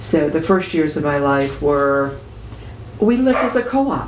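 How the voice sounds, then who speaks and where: Audible room echo and noticeable background noise both surround a woman as she talks. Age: 60s. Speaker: retiree and activist. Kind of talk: interview. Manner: conversational with frequent hesitations.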